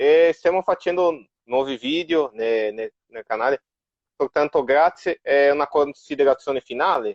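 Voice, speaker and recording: This man's fairly high pitch moves with ordinary variation as he talks at a fairly slow pace. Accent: Portuguese. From Brazil, São Paulo. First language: Portuguese (speaking Italian). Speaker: fan club organizer. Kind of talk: interview conversation. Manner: halting.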